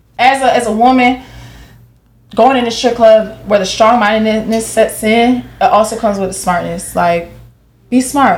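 With an American accent, a woman speaks in an animated tone at a fairly high pitch and ordinary pitch variation. Noticeable background noise runs behind her. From Jacksonville, Florida. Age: 20s. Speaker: dancer and real estate agent. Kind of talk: casual chat. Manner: loud, animated.

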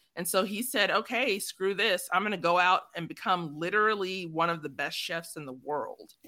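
With an American accent, a woman speaks at a medium pitch in a bright, sharp tone. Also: ordinary pitch variation, moderate pace, very clean recording, silent background. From Chicago, south side. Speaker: podcast host. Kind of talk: casual chat.

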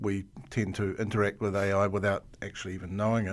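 A man's fairly low voice with a New Zealand accent, at a fairly quick pace, in a very clean recording against a silent background. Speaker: podcast host. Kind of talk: interview; scripted intro.

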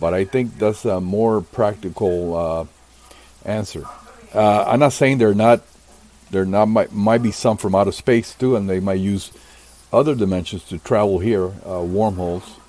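Using a normal speaking voice, a man talks in a fairly low pitch at a moderate pace with ordinary pitch variation. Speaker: humanoid encounter researcher. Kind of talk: casual roundtable discussion.

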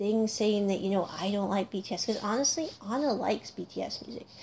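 A woman with an American accent speaks in a somewhat breathy voice, her tone dark and mellow. Her pitch sits fairly high, over a quiet background. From North America (US or Canada). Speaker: podcast host, music reviewer. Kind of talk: solo casual commentary.

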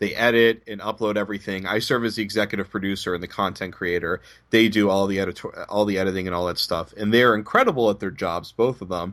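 Delivered at a very fast pace with hardly any pauses, the speech has an American accent and fairly even intonation on a very clean recording with a silent background. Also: man, fairly low pitch for a man. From Boston area, US. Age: 20s. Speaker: basketball reporter. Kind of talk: interview.

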